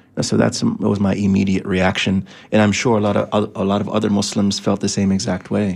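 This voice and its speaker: A man speaks at a fairly quick pace with vocal fry, his fairly low pitch held in a flat, monotone intonation. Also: very even loudness. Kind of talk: faith-based discussion. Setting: radio studio.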